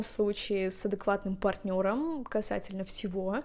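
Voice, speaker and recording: A woman speaks at a fairly slow pace in a dark, mellow tone, on a very clean recording with a silent background. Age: 20s. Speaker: podcast host. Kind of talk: solo podcast monologue; reading aloud. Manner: animated.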